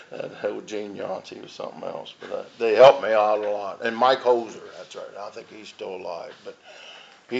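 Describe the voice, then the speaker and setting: There is noticeable background noise behind this man. His loudness swings widely. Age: 60s. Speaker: recovering alcoholic speaker at AA meeting. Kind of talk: recovery testimony.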